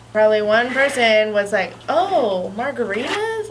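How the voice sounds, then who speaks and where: A woman speaks with very wide pitch swings. There is audible room echo and noticeable background noise. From US, child of Mexican immigrants. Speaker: discussion panelist. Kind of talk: casual discussion.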